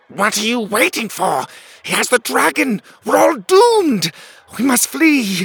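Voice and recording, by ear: A slow, shrill put-on character voice with a husky, rough edge, vocal fry and big pitch swings. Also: man, extremely high pitch for a man, dry, close sound with no echo, fairly bright tone.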